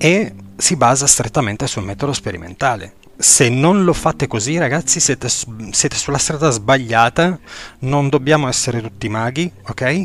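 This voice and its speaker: Lively intonation at a moderate pace over noticeable background noise. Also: man, medium pitch for a man. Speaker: podcast host, esoteric teacher. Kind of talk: lecture. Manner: halting, many filler sounds.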